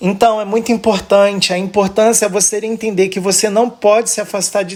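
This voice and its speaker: A man's high-pitched, monotone, flat voice at a fairly quick pace with hardly any pauses. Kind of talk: religious teaching.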